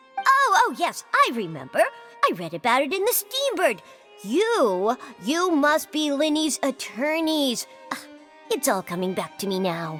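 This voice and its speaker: Over clear background music, a put-on character voice that sounds female talks at a moderate pace and a high pitch. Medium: machinima. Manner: formal, curt.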